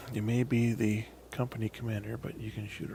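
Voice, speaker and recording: With a dark, mellow, somewhat breathy tone, this man talks at a fairly quick pace in a fairly low voice that swings very widely in pitch. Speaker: gaming video creator. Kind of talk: gameplay commentary. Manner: casual, halting with fillers; tends to get quieter while playing.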